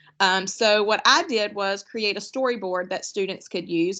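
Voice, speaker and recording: Pitched fairly high, a woman with an unremarkable speaking voice keeps a moderate pace. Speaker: teacher trainer. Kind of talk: online workshop presentation.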